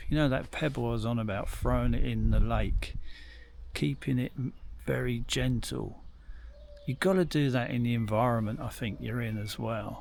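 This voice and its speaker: A man's voice with audible room echo. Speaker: bushcraft hobbyist vlogger. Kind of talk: casual monologue to camera. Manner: rambling, hesitant.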